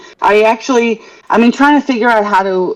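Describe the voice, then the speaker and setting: A woman speaks at a medium pitch with ordinary pitch variation. She has a slight New York accent. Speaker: caller. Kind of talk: casual chat.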